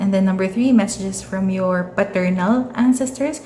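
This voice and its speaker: Noticeable background noise and audible room echo fill the recording. A woman speaks in a Filipino accent. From Philippines. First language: Tagalog. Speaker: tarot reader. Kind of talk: tarot reading. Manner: casual, hesitant with many fillers.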